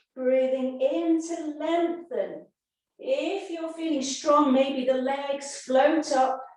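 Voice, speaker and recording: A woman's high-pitched voice at a very slow pace, ordinary pitch variation, and audible echo from the room. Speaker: yoga and pilates instructor. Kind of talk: fitness class instruction. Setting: video call.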